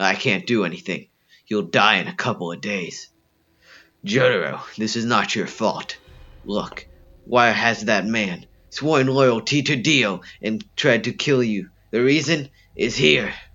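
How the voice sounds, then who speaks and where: A man's put-on character voice at medium pitch, fairly slow in pace, with lively intonation and long, frequent pauses. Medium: read story. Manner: dramatic.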